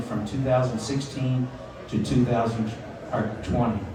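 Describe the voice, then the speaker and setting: Heard with noticeable background noise and audible room echo, the speaker talks at a moderate pace with fairly even intonation in a Southern accent. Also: man. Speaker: master of ceremonies. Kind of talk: speech at a retirement party.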